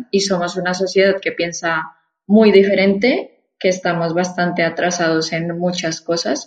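A woman speaks at a fairly slow pace in an ordinary speaking voice, her fairly low pitch carried on fairly even intonation. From Colombia, Bogotá. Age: 20s. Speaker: immigrant sharing experience. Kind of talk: interview.

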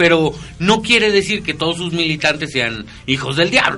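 Noticeable background noise runs under this recording. A man talks at a fairly high pitch. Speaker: radio host. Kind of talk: casual chat.

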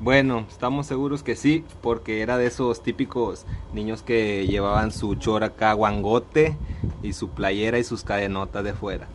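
Noticeable background noise sits under fairly slow speech with ordinary pitch variation. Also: man, fairly low pitch for a man. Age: 20s. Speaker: podcast co-host. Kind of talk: casual chat.

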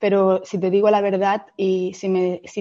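With a dark, mellow tone at a medium pitch, a woman speaks very slowly. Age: 30s. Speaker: fashion entrepreneur. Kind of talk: interview.

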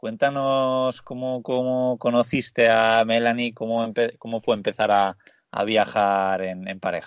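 Speaking at a fairly slow pace, a man with a medium pitch keeps his intonation fairly even. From Spain. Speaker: travel podcast host. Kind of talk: casual interview chat. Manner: halting, repeats words.

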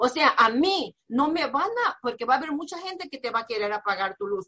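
A woman talks fairly quickly in a high, bright, sharp voice, animated and swinging very widely in pitch. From Mexico, Nayarit. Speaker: business coach. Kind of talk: motivational talk.

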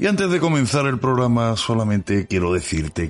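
This man's voice shows very wide pitch swings. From Andalusia, Spain. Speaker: history podcast host. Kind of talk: podcast intro and appeal; casual history chat. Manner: hesitant, many fillers.

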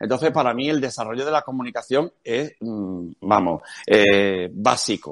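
A man speaks at a medium pitch and a fairly slow pace, with lively intonation, in an ordinary speaking voice. The background is quiet. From Cádiz, Andalusia, Spain. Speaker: education speaker and marketing specialist. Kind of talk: interview.

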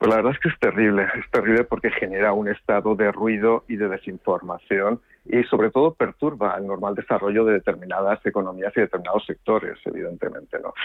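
In a plain, everyday voice, a man speaks at a fairly quick pace and a fairly low pitch, with fairly even intonation and hardly any pauses. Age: 50s. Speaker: politician. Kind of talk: radio interview.

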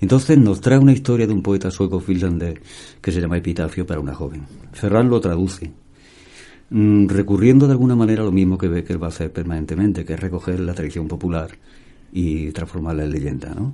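A man with a very deep, low voice and a dark, mellow tone talks at a fairly quick pace with ordinary pitch variation. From Andalusia, Seville. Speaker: singer-songwriter and painter. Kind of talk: casual interview chat.

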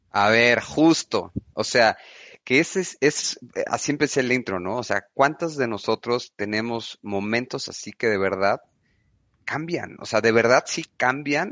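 A man with a normal speaking voice talks fairly slowly at a medium pitch, his intonation lively. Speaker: podcast host, business consultant. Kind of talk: interview.

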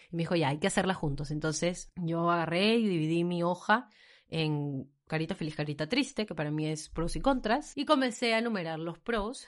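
A woman's fairly low voice, animated in tone and lively in intonation, at a moderate pace over a quiet background. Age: 20s. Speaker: podcast host. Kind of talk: casual chat.

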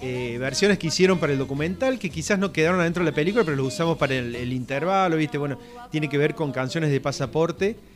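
Music plays behind a man speaking very fast. His pitch is fairly high, with ordinary variation. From Córdoba, Argentina. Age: 40s. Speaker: rock blogger. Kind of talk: casual radio interview.

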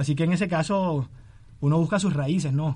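Using fairly even intonation, a man speaks at a fairly quick pace in a fairly high pitch. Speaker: journalism student and writer. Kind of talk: interview.

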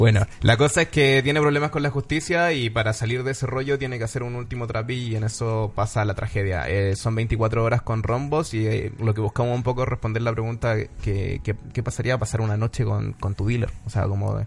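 A man speaks at a medium pitch with ordinary pitch variation. His pace is fairly quick, with hardly any pauses. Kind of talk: casual chat. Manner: calm, soothing.

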